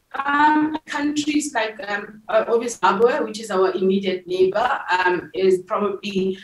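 A woman with a fairly high pitch speaks at a fairly slow pace, somewhat breathy. Audible room echo surrounds her voice. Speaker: tech nonprofit founder and CEO. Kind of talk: interview. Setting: remote call from an airport. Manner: hesitant, many fillers. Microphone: video call.

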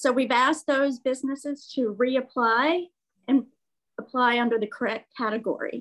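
Over a quiet background, a woman talks at a fairly slow pace. Her pitch is high. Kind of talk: staff report at meeting. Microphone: video call.

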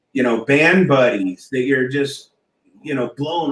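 A man with an American accent and a fairly high pitch talks with ordinary pitch variation, his voice carrying audible room echo over light background noise. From rural Kansas. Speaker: mural artist and musician; guest. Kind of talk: casual chat. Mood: relaxed, laughing. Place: home room. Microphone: video call.

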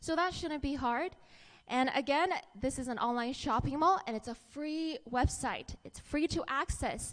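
Upbeat, enthusiastic speech from a woman, high-pitched with ordinary pitch variation and a fairly slow pace. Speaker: network marketing presenter. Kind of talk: pitchman presentation. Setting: stage with audience. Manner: upbeat, enthusiastic, engaging the audience with questions. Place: hall. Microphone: handheld.

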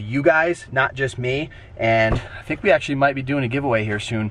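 With a dry sound, no echo, and light background noise, a man speaks at a fairly quick pace with ordinary pitch variation. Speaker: travel vlogger. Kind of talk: casual vlog chat. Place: car.

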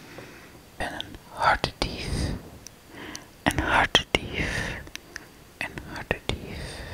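A woman's whisper at a very slow pace. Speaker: ASMR creator. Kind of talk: ASMR whispering of affectionate words. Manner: whispered, soft, repeating words. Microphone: studio mic.

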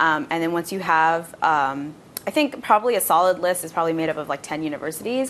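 Over light background noise, a woman speaks at a very fast pace with a fairly low pitch. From Bangladesh. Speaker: international student; panelist. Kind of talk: live panel discussion. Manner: casual, frequent fillers. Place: studio. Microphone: lapel.

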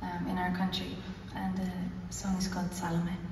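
A woman's voice carries audible room echo. Noticeable background noise runs under it. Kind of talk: stage banter to audience. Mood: warm, slightly shy. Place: hall. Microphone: pa.

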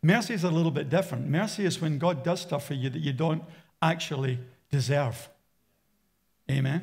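A man with an Australian accent talks at a fairly quick pace with ordinary pitch variation, a fairly high pitch, and long, frequent pauses against a quiet background. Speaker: pastor. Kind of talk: sermon. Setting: church. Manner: animated. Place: church. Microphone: headset.

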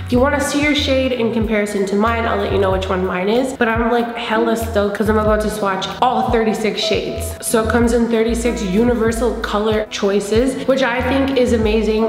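A woman's voice at a moderate pace with fairly even intonation and hardly any pauses, audible room echo and clear background music. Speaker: beauty vlogger. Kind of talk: casual vlog chat. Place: home room.

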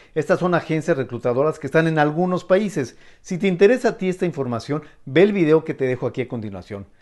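In a quiet background, a man with a plain, everyday voice talks fairly quickly, his fairly high pitch moving with lively intonation. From Mexico. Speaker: YouTube interviewer. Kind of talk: interview; channel outro.

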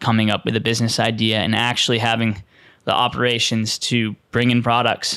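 Over a quiet background, a man speaks at a moderate pace in a dry sound with no echo. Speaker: podcast host. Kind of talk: storytelling podcast monologue. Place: studio. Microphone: studio mic.

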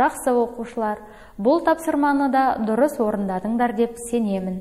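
A woman speaks in a high voice with a dark, mellow tone. Her pitch varies in an ordinary way. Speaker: teacher. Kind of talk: lecture. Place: studio.

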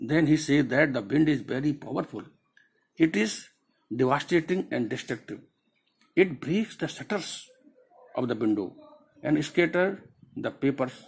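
The voice is somewhat breathy, with lively intonation and long, frequent pauses. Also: man, moderate pace. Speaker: teacher. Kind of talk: lecture explaining a poem. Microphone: phone near.

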